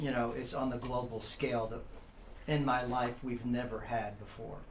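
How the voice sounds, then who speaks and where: A man speaks at a fairly slow pace in a medium pitch. Noticeable background noise and audible room echo fill the recording. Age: 60s. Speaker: college professor. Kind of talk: casual chat.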